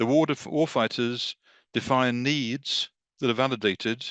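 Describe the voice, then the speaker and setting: With a British accent, a man speaks at medium pitch and a moderate pace, his pitch varying in an ordinary way, in a dry, close sound with no echo against a quiet background. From England. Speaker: defense industry marketer. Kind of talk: webinar presentation. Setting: online video call.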